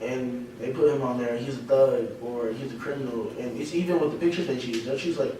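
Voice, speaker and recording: A man speaks fairly quickly at medium pitch, with ordinary pitch variation and hardly any pauses. Audible room echo and noticeable background noise surround him. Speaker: university student. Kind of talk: casual group discussion.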